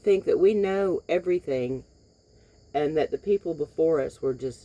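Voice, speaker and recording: A woman talks in a fairly low pitch with a dark, mellow tone. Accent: Southern US. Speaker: vlogger. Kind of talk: casual monologue. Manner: halting.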